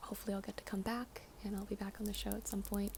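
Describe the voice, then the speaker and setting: Against noticeable background noise, a soft-spoken woman talks at a medium pitch. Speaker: ASMR creator and actress. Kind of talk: casual talk to camera. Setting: studio.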